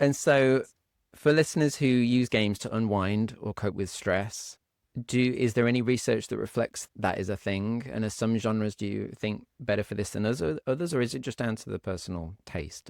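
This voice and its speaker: In a British accent, a man speaks at a moderate pace and medium pitch with ordinary pitch variation, in a dry, close sound with no echo on a very clean recording with a silent background. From Britain. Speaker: podcast host and streamer. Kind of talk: interview. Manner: halting.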